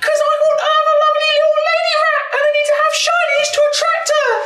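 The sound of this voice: Pitched extremely high, a put-on character voice moves at a fairly quick pace.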